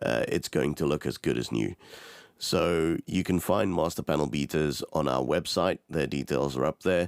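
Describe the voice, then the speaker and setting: This man's pitch is very deep and low, with vocal fry and ordinary pitch variation. He keeps a moderate pace, and the sound is dry and close with no echo. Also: very clean recording, silent background. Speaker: podcast host. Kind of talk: sponsor read.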